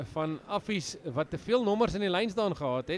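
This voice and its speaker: A man speaks with lively intonation. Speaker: rugby match commentator. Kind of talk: live sports commentary. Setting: stadium, broadcast of a school rugby match.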